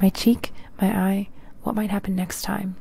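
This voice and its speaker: A woman speaks with monotone, flat intonation. The sound is dry with no echo. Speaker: true crime narrator. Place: home room. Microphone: handheld.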